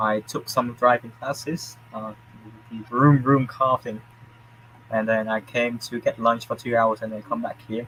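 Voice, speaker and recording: A man speaks in a Vietnamese accent. His tone is bright and sharp, at a fairly slow pace. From Vietnam, Da Nang. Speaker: university student. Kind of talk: casual chat.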